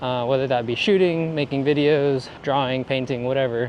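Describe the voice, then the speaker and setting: A man mumbling in a relaxed tone with fairly even intonation, over noticeable background noise. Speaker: photographer and vlogger. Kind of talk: casual vlog talk. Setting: walking outdoors in downtown. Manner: relaxed, halting.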